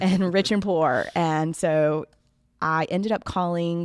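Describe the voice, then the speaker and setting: In a Southern US accent, the speaker keeps a fairly even intonation on a very clean recording with a silent background. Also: woman. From US South, Florida Panhandle. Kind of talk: podcast interview.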